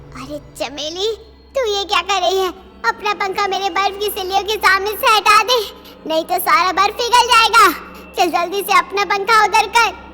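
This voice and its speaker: A cartoonish character voice that sounds female delivers its lines at an extremely high pitch and a moderate pace. Music plays in the background. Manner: loud, squabbling.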